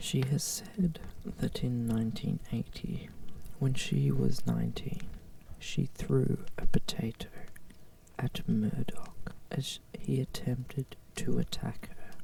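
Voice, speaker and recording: Whispering comes through at a very slow pace. Noticeable background noise sits behind it. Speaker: ASMR channel host. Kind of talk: ASMR Wikipedia reading. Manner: whispered, soft-spoken.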